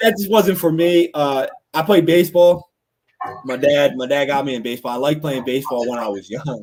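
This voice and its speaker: In a Philadelphia accent, a man talks at a fairly quick pace. His tone is animated and his intonation lively. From Norristown, Pennsylvania (Philadelphia area). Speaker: podcast co-host. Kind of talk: casual chat.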